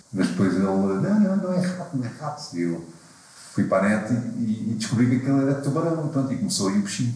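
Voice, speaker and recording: Talking at a very fast pace with very wide pitch swings, a man is heard through audible room echo and noticeable background noise. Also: medium pitch for a man. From Portugal, Lisbon area. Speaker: climber and guidebook author. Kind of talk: casual chat.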